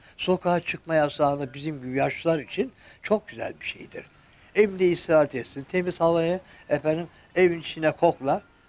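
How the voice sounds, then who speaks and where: Fairly quick speech from a man, high in pitch, with ordinary pitch variation. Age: 70s. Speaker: retiree; interviewee. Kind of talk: interview. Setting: at home. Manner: polite; halting. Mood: cheerful, polite, content. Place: home room. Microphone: handheld.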